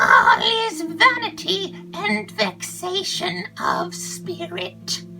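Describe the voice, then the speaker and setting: Over clear music in the background, a female-sounding, put-on character voice speaks at a very slow pace with hardly any pauses. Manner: melancholy.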